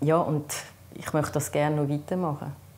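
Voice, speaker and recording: A woman speaks with a Swiss accent. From German-speaking Switzerland. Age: 50s. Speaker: patient sharing experience; interviewee. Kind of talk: interview testimony. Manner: halting, many fillers. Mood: calm, earnest. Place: home room.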